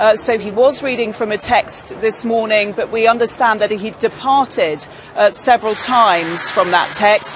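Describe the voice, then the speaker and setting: Noticeable background noise runs through the clip. Over it, a woman's pitch varies in an ordinary way. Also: moderate pace. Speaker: news correspondent. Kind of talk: live news report.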